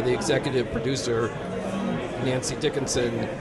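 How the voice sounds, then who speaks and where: A man with an American accent talks fairly quickly at medium pitch with ordinary pitch variation, with audible room echo and noticeable background noise. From US Midwest, Cleveland, Ohio. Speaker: documentary filmmaker. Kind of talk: interview.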